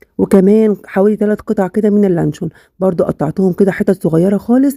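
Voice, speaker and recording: A woman at a medium pitch talks at a fairly quick pace with a dark, mellow tone, fairly even intonation, and a dry, close sound free of echo. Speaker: cooking channel host. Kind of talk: cooking tutorial. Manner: casual, chatty.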